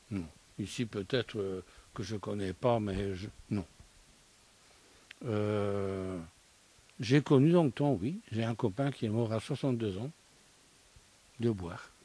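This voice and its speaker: With a dark, mellow tone and fairly low pitch, a man speaks at a very slow pace, with ordinary pitch variation and long, frequent pauses. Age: 60s. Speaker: studio guest. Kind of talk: casual discussion.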